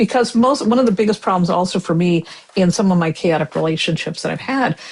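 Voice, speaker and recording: Somewhat breathy, a woman talks at a very fast pace with lively intonation. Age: 60s. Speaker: tarot reader and writer. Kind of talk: casual chat.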